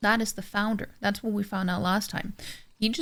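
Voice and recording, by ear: The natural voice reading aloud keeps its intonation fairly even.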